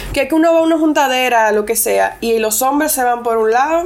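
Noticeable background noise accompanies a woman whose high-pitched voice carries lively intonation. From Puerto Plata, Dominican Republic, Argentine family. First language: English (speaking Spanish). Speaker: lawyer. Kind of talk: casual interview.

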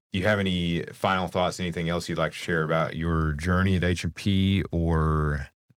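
A man talks in a very deep, low pitch with fairly even intonation at a moderate pace. The recording is very clean, with a silent background. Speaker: podcast host and company employee. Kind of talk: casual interview.

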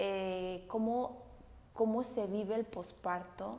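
A woman at a very slow pace, fairly high in pitch, against noticeable background noise. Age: 20s. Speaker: podcast host, educational psychologist. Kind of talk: casual monologue. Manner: halting.

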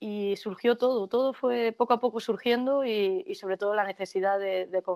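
This is an ordinary speaking voice at a fairly slow pace, with fairly even intonation and a dry, close sound with no echo. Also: woman. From Spain, Jaén (Andalusia). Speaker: nurse and singer. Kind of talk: casual interview.

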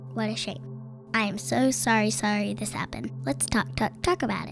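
A put-on character voice at a low-to-middle pitch, moderate pace, with clear music in the background. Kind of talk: read-aloud picture book acting. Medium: read story. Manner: kind, sorry, soothing.

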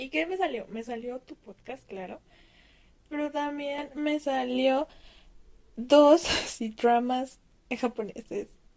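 Very slow and marked by long, frequent pauses, a woman's high-pitched voice shows ordinary pitch variation and big swings in loudness. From Mexico. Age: 20s. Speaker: listener sending audio message. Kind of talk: recorded voice message.

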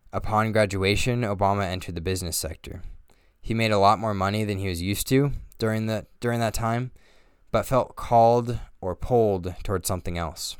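A man in a plain, everyday voice talks at a fairly quick pace with fairly even intonation and a fairly low pitch, in a very clean recording with a silent background. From Northern Colorado, US. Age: 20s. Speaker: podcast host. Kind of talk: scripted narration.

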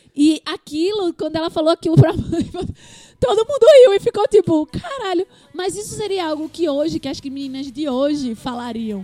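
Over noticeable background noise, a woman with an extremely high pitch makes very wide pitch swings and big swings in loudness, in a dry, close sound with no echo. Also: moderate pace. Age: 20s. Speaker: podcast co-host. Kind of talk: casual chat.

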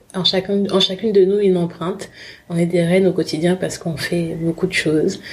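A somewhat breathy woman speaks at a fairly quick pace and medium pitch in monotone, flat intonation. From Republic of the Congo, then France from about age 11. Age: 30s. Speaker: fashion brand founder. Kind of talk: interview testimony. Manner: hesitant, many fillers.

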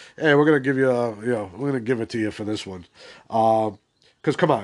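An ordinary speaking voice from a man, medium in pitch with ordinary pitch variation and a fairly quick pace, against a quiet background. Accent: American. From Boston area, US Northeast. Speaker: podcast host. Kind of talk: solo movie-opinion podcast, casual and conversational; at 27:58 an angry, sweary rant. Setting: solo podcast recording. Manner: rambling, filler-heavy, casual.

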